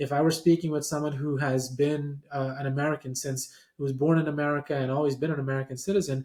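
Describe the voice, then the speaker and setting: Somewhat breathy, a man with a fairly high pitch speaks at a fairly quick pace. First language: not English. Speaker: professor and podcast host. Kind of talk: lecture-style presentation.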